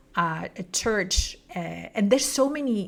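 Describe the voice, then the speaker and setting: A woman's fairly high voice in a Spanish accent, at a moderate pace. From Spain. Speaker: book show host. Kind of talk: interview. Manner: halting.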